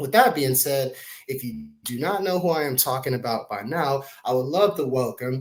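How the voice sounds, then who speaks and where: A man speaks in an ordinary speaking voice at a moderate pace with lively intonation. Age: 30s. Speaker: podcast host. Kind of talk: podcast interview.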